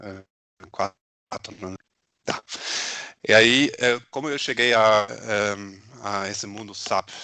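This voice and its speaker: In a German accent, a man with a bright, sharp tone and a fairly low pitch speaks at a very slow pace, with fairly even intonation, big swings in loudness and long, frequent pauses. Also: dry, close sound with no echo. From Germany. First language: German (speaking Portuguese). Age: 40s. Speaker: SAP consultant, former volleyball player. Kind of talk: interview. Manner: hesitant, many fillers.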